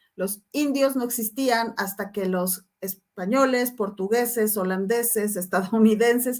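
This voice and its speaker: An ordinary speaking voice at a fairly slow pace, with ordinary pitch variation, in a very clean recording with a silent background. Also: woman. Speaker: professor. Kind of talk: lecture.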